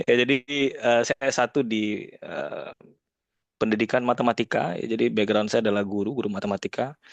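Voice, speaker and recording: A man speaks at a moderate pace with a slight Padang accent and a medium pitch. The sound is dry and close with no echo, his intonation is fairly even, and the background is quiet. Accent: slight Padang (Minang). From West Sumatra, Indonesia. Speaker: data scientist, guest speaker. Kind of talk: informal sharing-session talk. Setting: video call. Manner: casual, with many fillers.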